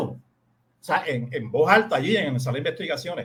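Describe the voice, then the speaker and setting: A man speaks at a fairly quick pace. His pitch swings very wide. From Puerto Rico. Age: 60s. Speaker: lawyer. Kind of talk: radio interview.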